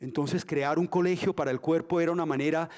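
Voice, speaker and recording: An unremarkable speaking voice. The intonation stays fairly even. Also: man. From Colombia, Antioquia. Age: 60s. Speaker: dancer and dance school founder. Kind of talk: lecture. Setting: museum auditorium with audience, streamed.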